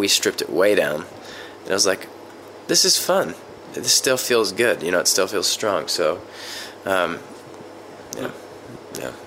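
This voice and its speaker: A man speaks at a fairly slow pace with long, frequent pauses amid noticeable background noise. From US South, West Virginia. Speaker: musician, band singer and lyricist. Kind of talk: casual interview.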